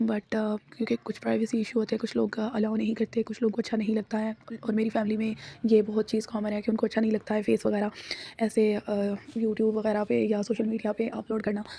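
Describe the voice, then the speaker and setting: Noticeable background noise behind a woman's fairly high, monotone, flat voice at a moderate pace. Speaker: vlogger. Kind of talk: vlog voice-over narration. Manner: casual, with fillers.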